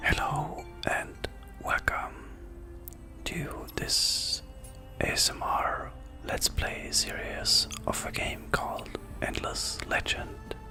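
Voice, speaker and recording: Whispering with long, frequent pauses over music in the background. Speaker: ASMR content creator. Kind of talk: ASMR let's play gameplay commentary. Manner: whispered, relaxing.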